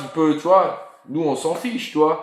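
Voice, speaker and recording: Audible room echo around speech at a moderate pace. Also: man. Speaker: football YouTube live host. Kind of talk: casual live stream chat. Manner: animated.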